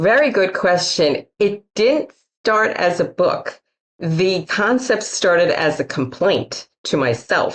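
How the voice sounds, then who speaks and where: At a very slow pace, a woman with a Queens accent talks at a medium pitch, keeping her loudness very even while her pitch swings very wide. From Queens, New York City. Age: middle-aged. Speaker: author and humorist speaker. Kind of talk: interview.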